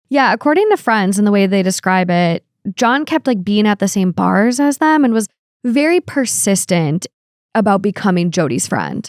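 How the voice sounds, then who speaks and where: Very clean recording, silent background, and a dry, close sound with no echo, as a woman with an Upper Midwest accent speaks at a moderate pace with very even loudness, medium pitch and lively intonation. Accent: Upper Midwest American. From Minnesota. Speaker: true crime podcast co-host. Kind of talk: casual true crime discussion.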